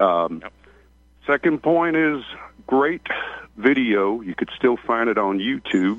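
Speaking in a Southern US accent at a fairly slow pace, the voice swings very widely in pitch. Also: man. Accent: rural Southern, country. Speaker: caller. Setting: phone call.

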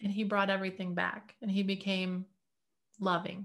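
Speaking with an American accent, a woman keeps a monotone, flat intonation at a medium pitch and a moderate pace. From US Midwest, Detroit area. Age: 50s. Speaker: inventor and healing practitioner. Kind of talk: interview.

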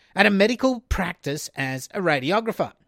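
An Australian-accented man talks with lively intonation. The sound is dry and close with no echo, in a very clean recording with a silent background. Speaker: true crime podcast host. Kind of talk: scripted narration. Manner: casual, laughs often.

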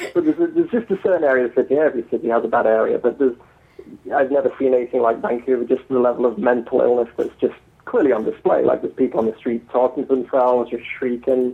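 In an English accent, a man talks at a very fast pace. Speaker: novelist. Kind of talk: interview.

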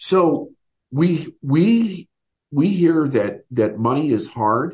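Somewhat breathy, a man with an American accent speaks very slowly with lively intonation. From Chicago area, US Midwest. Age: 50s. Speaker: business coach. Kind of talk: interview.

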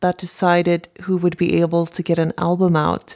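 In a Swedish accent, the speaker talks at a moderate pace on a very clean recording with a silent background and a dry, close sound with no echo. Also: woman. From Sweden, Stockholm. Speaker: singer-songwriter. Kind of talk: interview.

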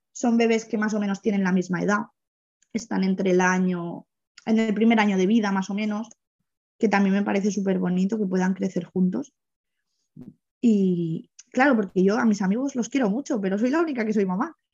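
A woman speaks at medium pitch and a fairly quick pace, with ordinary pitch variation and a somewhat breathy sound. Her speech is broken by long, frequent pauses. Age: 30s. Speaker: single mother telling her birth story. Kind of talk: personal testimony in an interview.

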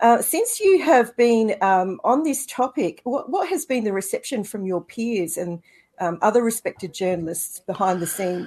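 A woman with an Australian accent talks at a moderate pace. Her pitch swings very widely over a quiet background. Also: fairly high pitch for a woman. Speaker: co-host. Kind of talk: interview. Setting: video call.

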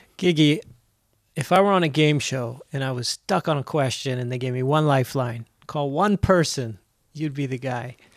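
The voice moves at a moderate pace with ordinary pitch variation. The recording is very clean, with a silent background. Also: man, fairly high pitch for a man. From Ohio, US. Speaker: podcast host. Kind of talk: interview.

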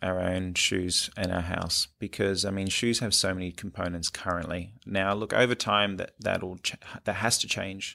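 With an Australian accent, a man speaks at a moderate pace and fairly low pitch, his bright, sharp tone and fairly even intonation carrying with hardly any pauses on a very clean recording with a silent background. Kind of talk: interview. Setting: studio.

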